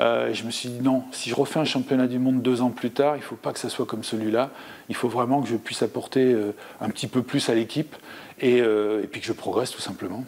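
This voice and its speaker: A man with a medium pitch keeps fairly even intonation while talking at a fairly quick pace. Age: 60s. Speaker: former table tennis player and coach. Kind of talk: interview. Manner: hesitant, many fillers.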